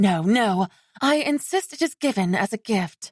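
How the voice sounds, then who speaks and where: Medium-pitched, a put-on character voice from a woman. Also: moderate pace. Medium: read story. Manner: warm, polite.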